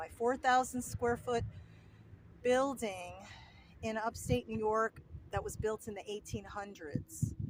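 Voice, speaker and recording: A woman speaks at a fairly slow pace with a New Jersey accent. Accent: New Jersey American. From US Northeast, New Jersey. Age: 60s. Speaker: home restorer and vlogger. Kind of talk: casual vlog Q and A. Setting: outdoors at the beach.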